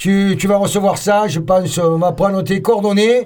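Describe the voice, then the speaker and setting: With noticeable background noise behind him, a man talks at a moderate pace in a high-pitched voice. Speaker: radio host and band member. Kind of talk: casual live radio chat. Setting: radio studio. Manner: animated.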